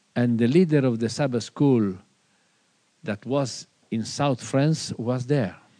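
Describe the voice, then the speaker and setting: In an Italian accent, a man speaks at a very slow pace and medium pitch, his tone dark and mellow, with ordinary pitch variation and long, frequent pauses. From Italy. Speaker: pastor. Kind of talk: seminar talk. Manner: halting.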